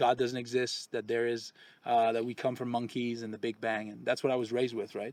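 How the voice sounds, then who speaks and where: In a very clean recording with a silent background and a dry, close sound free of echo, a man with a Quebec accent speaks at a medium pitch and a fairly quick pace. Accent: French Canadian accent in English. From Quebec, Canada. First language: French. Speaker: expat real estate channel host. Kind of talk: casual chat. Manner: halting.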